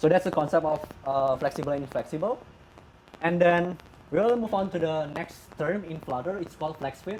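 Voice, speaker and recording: A man's fairly high voice with ordinary pitch variation and a non-native accent, at a moderate pace. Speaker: software developer. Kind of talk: tech conference talk. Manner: halting, stuttering.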